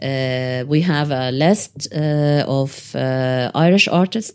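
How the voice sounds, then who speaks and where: A woman speaks with an Arabic accent in a dark, mellow tone with ordinary pitch variation. The recording is very clean, with a silent background. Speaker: activist, solidarity committee chair. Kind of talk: interview. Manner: hesitant, many fillers.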